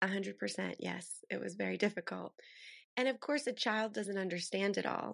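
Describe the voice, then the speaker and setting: A quiet background behind a woman with an American accent. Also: moderate pace. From Western Pennsylvania. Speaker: author. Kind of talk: interview.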